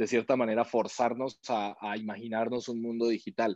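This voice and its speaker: A man speaks at a moderate pace. The sound is dry and close with no echo, over a quiet background. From Colombia. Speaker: startup co-founder. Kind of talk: interview. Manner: halting, many repetitions and fillers.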